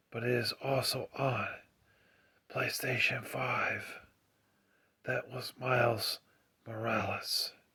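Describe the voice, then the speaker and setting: A man whispers at a very slow pace. Long, frequent pauses break up his speech. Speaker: gaming YouTuber. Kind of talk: ASMR video. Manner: whispering; soft-spoken.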